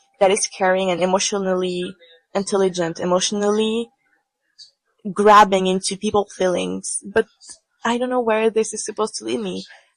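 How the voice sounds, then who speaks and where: Moderate pace, fairly even intonation and long, frequent pauses in a non-native accent, with a dry, close sound and no echo. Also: woman, medium pitch for a woman. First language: not English. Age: 20s. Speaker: podcaster, tarot reader. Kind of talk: reflective solo podcast monologue. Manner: halting, repeats words. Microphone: poor audio, bad microphone.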